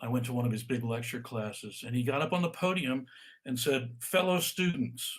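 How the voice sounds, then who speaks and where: A man speaks at a fairly quick pace with a medium pitch. His voice is somewhat breathy and his pitch varies in an ordinary way. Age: 70s. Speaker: author and stress expert. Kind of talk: interview on a live video call. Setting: video call. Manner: halting, with repeated words.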